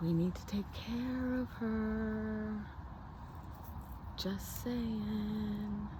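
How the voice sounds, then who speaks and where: Soft-spoken and calm, a woman talks in a relaxed tone at a very slow pace, with audible room echo. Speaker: spiritual healer vlogger. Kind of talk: casual nature vlog narration. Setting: outdoors. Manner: calm, relaxed.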